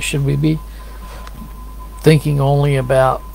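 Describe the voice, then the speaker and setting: Audible room echo and noticeable background noise accompany a man speaking at a moderate pace. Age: 60s. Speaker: lay preacher. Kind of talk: casual sermon-style talk to camera. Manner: conversational, meandering.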